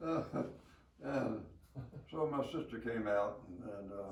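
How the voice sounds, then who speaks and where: A man with a Southern US accent speaks at a fairly low pitch. His voice is somewhat breathy, with ordinary pitch variation. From Alabama. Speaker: war veteran. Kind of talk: interview answer.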